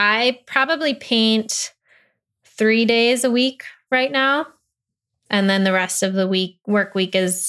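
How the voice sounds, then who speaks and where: A woman speaks in an American accent with an unremarkable speaking voice, ordinary pitch variation and a fairly slow pace. The recording is very clean with a silent background. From Michigan, Grosse Pointe (US Midwest). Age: 20s. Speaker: painter. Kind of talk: interview.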